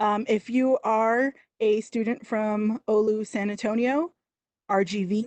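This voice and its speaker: The speaker is a woman. Her voice sounds dry and close, with no echo. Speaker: university staff host of student event. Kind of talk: live stream presentation. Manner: slightly slurred speech; casual, many fillers.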